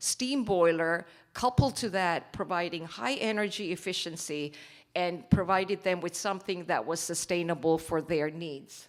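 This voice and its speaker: In a very clean recording with a silent background, a woman with an unremarkable speaking voice talks at a moderate pace in a medium pitch. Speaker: company executive presenting at investment forum. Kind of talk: conference presentation.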